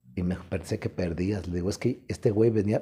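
With ordinary movement in his pitch, a man talks in a fairly low register. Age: 60s. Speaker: professional wrestler; interviewee. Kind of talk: interview, casual storytelling. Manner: animated, colloquial. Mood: relaxed, colourful anecdote telling. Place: home room. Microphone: lapel.

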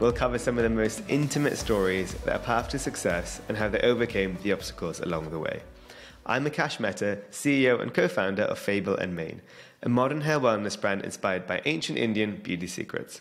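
The speech moves at a fairly quick pace. Faint music sounds in the background. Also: man. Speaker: podcast host. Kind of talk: podcast intro. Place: studio. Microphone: studio mic.

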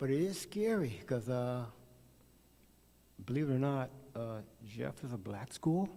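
A man with an American accent speaks at a medium pitch, his dark, mellow tone carried by lively intonation. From Oklahoma City, Oklahoma. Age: 60s. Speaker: volunteer coach giving public comment. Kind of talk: public comment at board meeting.

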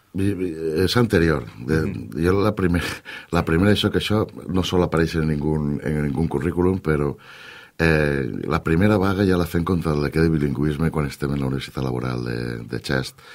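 The speech moves at a moderate pace with ordinary pitch variation. The background is quiet. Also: man, very deep, low pitch for a man. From Valencia region, Canals (La Costera); Valencia region, Spain. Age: 40s. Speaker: politician. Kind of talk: radio interview. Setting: radio studio. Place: studio.

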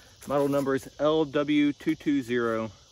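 A man's voice sits fairly high in pitch, with noticeable background noise behind it. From United States. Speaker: outdoor gear reviewer. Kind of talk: casual product review. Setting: outdoors. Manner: casual, conversational.

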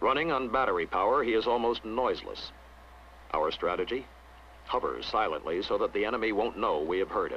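The delivery moves at a fairly quick pace. Light background noise sits behind it. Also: man. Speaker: documentary narrator. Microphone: old recording.

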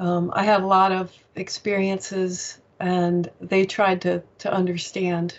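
A woman with an American accent speaks at a medium pitch. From US, Virginia. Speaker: author and paranormal experiencer; interview guest. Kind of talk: interview. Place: home room. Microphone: earbuds.

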